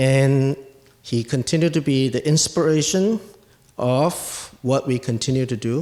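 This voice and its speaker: Speaking with a Chinese accent, a man has a dark, mellow tone and a medium pitch that varies in an ordinary way. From Asia, Chinese. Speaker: guest commentator at a medical poetry event. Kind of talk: prepared speech.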